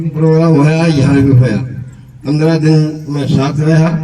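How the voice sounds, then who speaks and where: A man's fairly high, monotone voice with flat intonation, noticeable background noise and audible room echo. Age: 70s. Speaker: yoga participant. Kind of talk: testimony.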